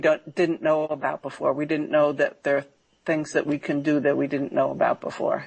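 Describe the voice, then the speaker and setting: A very clean recording, silent background, of a woman talking. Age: 60s. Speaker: healer and spiritual teacher. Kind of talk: interview. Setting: radio show.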